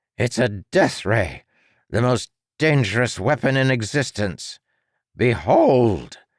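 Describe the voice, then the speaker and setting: A man puts on a character voice at medium pitch, with ordinary pitch variation, a fairly slow pace and long, frequent pauses. The recording is very clean with a silent background and a dry, close sound with no echo. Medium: read story. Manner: blustering, flustered.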